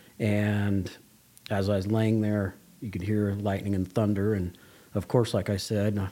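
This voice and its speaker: A man with an American accent speaks at a fairly low pitch and a moderate pace. His tone is dark and mellow. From Las Vegas, Nevada. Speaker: school director. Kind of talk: interview testimony.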